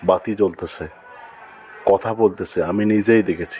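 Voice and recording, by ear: A man's fairly low voice, slightly mellow in tone with a slightly husky edge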